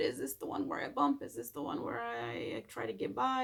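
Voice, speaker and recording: The woman's speech, in a Spanish accent, moves at a moderate pace. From Mexico. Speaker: Spanish teacher. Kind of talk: recorded lesson for students. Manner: casual, with hesitations.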